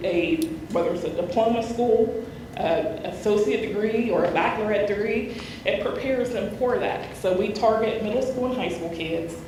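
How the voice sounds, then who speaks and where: Against noticeable background noise and audible room echo, a woman talks at a moderate pace. Her pitch is fairly high. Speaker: nurse presenting a school program. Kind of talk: presentation to a committee meeting.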